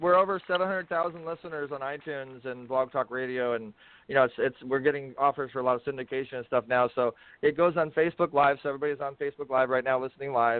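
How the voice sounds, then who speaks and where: Speaking at a very fast pace, a man has a fairly high pitch. His pitch varies in an ordinary way. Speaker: radio host. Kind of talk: casual radio chat.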